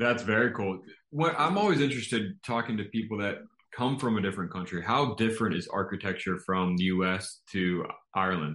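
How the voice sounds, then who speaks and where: This man has a plain, everyday voice, fairly low in pitch, delivered at a fairly quick pace with ordinary pitch variation. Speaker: podcast host. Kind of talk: casual interview.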